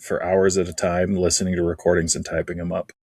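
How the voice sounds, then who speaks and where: A man speaks with a dry, close sound that carries no echo. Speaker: writing group podcast co-host. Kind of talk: casual chat.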